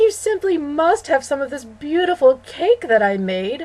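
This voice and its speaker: A woman puts on a theatrical character voice, pitched high, with very wide pitch swings at a moderate pace. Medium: read story. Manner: gushing, theatrical.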